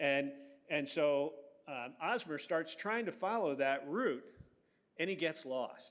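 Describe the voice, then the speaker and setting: This man has an American accent and a normal speaking voice. His pitch is fairly high, and his pace is moderate. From Virginia, Franklin County and Northern Virginia. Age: 60s. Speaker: historian. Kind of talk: public lecture. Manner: casual, many fillers and restarts.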